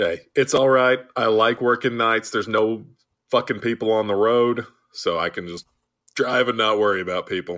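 Moderately paced speech from a man in a plain, everyday voice, medium in pitch, its intonation fairly even. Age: 20s. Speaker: guest podcaster, co-host of another roller coaster show. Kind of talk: casual chat.

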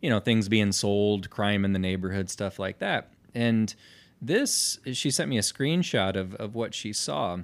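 A man's fairly low voice with an American accent, an unremarkable speaking voice at a fairly slow pace with ordinary pitch variation, in a very clean recording against a silent background. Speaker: podcast co-host. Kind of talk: casual chat.

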